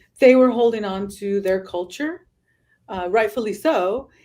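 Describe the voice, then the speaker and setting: With a Californian accent, a woman speaks at a medium pitch with ordinary pitch variation. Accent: Californian American English. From Southern California. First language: Spanish. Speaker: travel influencer. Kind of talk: podcast interview.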